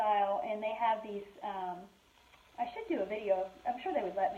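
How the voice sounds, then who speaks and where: A woman talks at a moderate pace. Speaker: furniture painter and shop owner. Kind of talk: live tutorial chat. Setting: live video stream. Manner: halting, many fillers.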